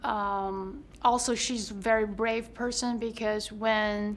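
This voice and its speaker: Very slow speech in a Chinese accent comes with monotone, flat intonation and audible room echo. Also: woman. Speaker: actor. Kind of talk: interview.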